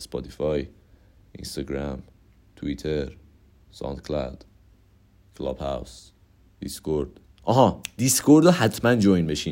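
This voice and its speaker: A man with a very deep, low pitch and a dark, mellow tone speaks with lively intonation, big swings in loudness, and long, frequent pauses. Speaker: podcast host. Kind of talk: casual monologue. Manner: rambling fast talk; stammering at times.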